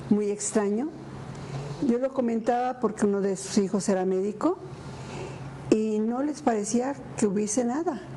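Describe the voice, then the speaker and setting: Over noticeable background noise, a woman speaks fairly slowly at a fairly high pitch, with ordinary pitch variation and long, frequent pauses. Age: 80s+. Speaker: foundation founder. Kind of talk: interview. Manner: halting.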